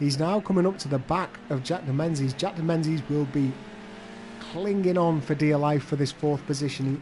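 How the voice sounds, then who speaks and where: A man with a fairly high pitch and ordinary pitch variation talks at a moderate pace while noticeable background noise carries on. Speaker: sim-racing commentator. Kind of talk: live race commentary. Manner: reacts to crashes as they happen.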